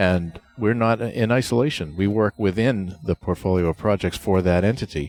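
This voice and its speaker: Over music in the background, a man with a New England accent speaks at a fairly low pitch with hardly any pauses, the sound dry and close with no echo. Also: ordinary pitch variation, moderate pace. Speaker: project management author and presenter. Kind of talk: interview. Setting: conference venue.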